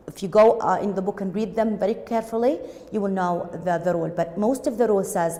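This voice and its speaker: Noticeable background noise sits behind a woman talking at a fairly quick pace, medium pitch and ordinary pitch variation. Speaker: English teacher. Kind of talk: lecture. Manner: halting.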